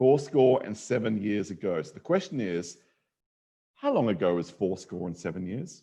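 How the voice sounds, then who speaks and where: Speaking in an Australian accent, a man with a fairly low pitch and a dark, mellow tone talks at a moderate pace with lively intonation. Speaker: mathematician, panel speaker. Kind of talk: lecture. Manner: animated.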